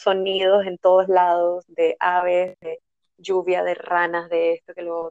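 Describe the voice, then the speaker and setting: The speech moves at a fairly slow pace with big swings in loudness. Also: woman. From Panama. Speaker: energy therapist. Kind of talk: casual interview. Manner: calm, soothing.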